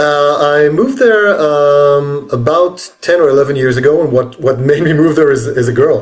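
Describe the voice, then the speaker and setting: Audible room echo surrounds a voice with an Israeli accent, ordinary pitch variation and very even loudness. There are hardly any pauses. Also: man, fairly high pitch for a man, moderate pace. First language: Hebrew. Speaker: author. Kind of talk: interview. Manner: halting.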